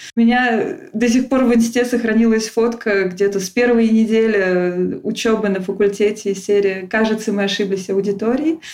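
A woman with an unremarkable speaking voice and a fairly high pitch talks at a fairly quick pace, with hardly any pauses. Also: fairly even intonation. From Russia, Tula. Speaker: emigrant guest. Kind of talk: casual interview.

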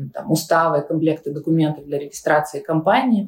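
A woman with a normal speaking voice, fairly low-pitched, with ordinary pitch variation. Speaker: tech company CEO. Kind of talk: interview.

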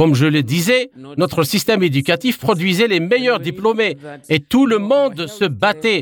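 A man speaks in a high voice at a fairly slow pace. His pitch swings very widely. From Zimbabwe. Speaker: activist. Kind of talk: interview.

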